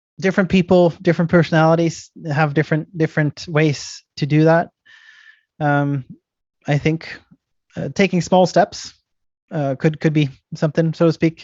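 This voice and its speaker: A man with an American accent speaks at a moderate pace in monotone, flat intonation. Long, frequent pauses break up his speech. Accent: sounds very American. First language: not English. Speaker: IT entrepreneur. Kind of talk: talk giving advice at a meeting. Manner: halting, many fillers and repetitions.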